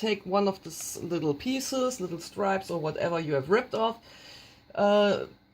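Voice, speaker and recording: This woman speaks with a German accent at a medium pitch. Her pitch varies in an ordinary way. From Germany. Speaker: craft tutorial maker. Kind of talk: tutorial. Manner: halting, many fillers.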